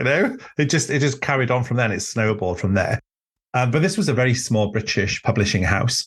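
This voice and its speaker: Over a quiet background, a man with a Welsh accent talks at a fairly quick pace and medium pitch, somewhat breathy, with lively intonation and very even loudness. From Wales. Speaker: author and druid teacher. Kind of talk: casual chat. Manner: halting.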